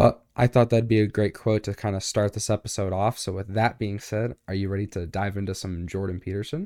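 On a very clean recording with a silent background, a man with a fairly low pitch and a dark, mellow tone talks fairly quickly with fairly even intonation and hardly any pauses. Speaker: podcast co-host. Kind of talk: casual discussion. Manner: casual, many fillers.

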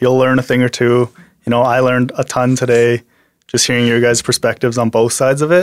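With a western Canadian accent, a man speaks at a medium pitch and a moderate pace. The recording is dry and close, with no echo. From Canada, Alberta (Medicine Hat), born in Korea. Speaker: former baseball player. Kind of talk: personal testimony in casual conversation.

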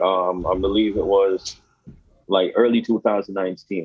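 This is a man speaking. He has a Jamaican accent. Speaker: guest, crypto professional. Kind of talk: casual interview.

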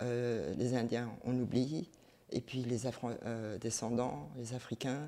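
Very deep and low in pitch, a woman speaks at a very slow pace in a dark, mellow tone with ordinary pitch variation. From South Korea, adopted to Belgium. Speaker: multidisciplinary artist. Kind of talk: interview.

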